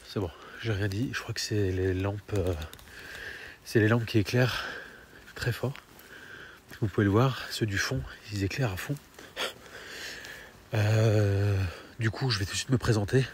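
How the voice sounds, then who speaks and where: Amid noticeable background noise, a man speaks at a fairly slow pace with long, frequent pauses, a fairly low pitch and ordinary pitch variation. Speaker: paranormal investigator youtuber. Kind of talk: on-location vlog narration. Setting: outdoors at night in the rain. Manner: soft-spoken; hesitant, filler-heavy.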